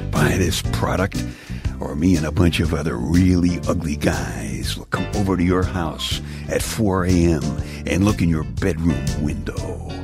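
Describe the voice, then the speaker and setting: A man in a put-on character voice, gruff and growling in a very deep, low pitch at a moderate pace, over loud music in the background. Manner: menacing, threatening.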